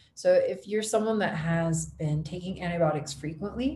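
A fairly quick woman's voice in an American accent, fairly low-pitched and dark and mellow in tone, with vocal fry and ordinary pitch variation. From Ohio, US. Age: 30s. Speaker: health coach. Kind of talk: interview.

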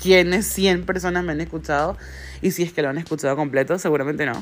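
A fairly quick pace in a Venezuelan accent. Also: woman. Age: 30s. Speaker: solo podcaster. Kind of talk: casual monologue.

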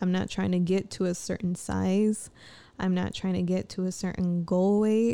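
The voice has a dark, mellow tone, monotone, flat intonation, very even loudness and a moderate pace, on a very clean recording with a silent background. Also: woman, medium pitch for a woman. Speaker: solo podcaster. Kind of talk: casual monologue. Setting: home recording at night. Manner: rambling, laughs often.

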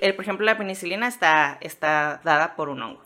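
A woman speaks with a bright, sharp tone. Her intonation is lively. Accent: Mexican. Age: 30s. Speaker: podcaster on mycology, comedian. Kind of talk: casual chat.

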